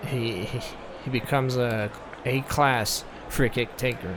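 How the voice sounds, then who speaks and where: Over noticeable background noise, a man with a non-native accent speaks at a medium pitch. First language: not English. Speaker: gaming youtuber. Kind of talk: gameplay commentary review. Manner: halting, many fillers; casual.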